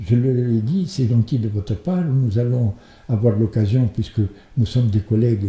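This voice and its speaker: Dark and mellow in tone, a man's somewhat breathy voice sits at a medium pitch with ordinary variation. He speaks at a fairly slow pace. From Tunisia. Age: 80s+. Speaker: chess club member. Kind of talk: interview. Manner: halting, with frequent hesitations.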